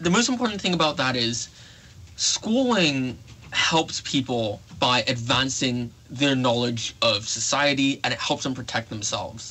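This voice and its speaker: A man with ordinary pitch variation and a medium pitch talks at a fairly slow pace. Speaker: campus radio show host. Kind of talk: radio talk show monologue. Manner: hesitant, with fillers and self-corrections.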